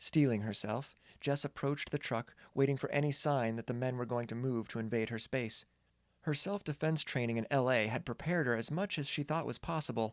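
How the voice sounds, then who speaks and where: Here is a man with an unremarkable speaking voice at medium pitch and ordinary pitch variation. He talks at a fairly quick pace in a dry, close sound with no echo, on a very clean recording with a silent background. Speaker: author. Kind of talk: audiobook horror story reading.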